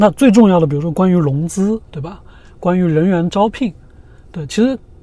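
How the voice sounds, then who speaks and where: The man's voice sits at a high pitch. He leaves long, frequent pauses. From China. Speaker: entrepreneur. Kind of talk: interview.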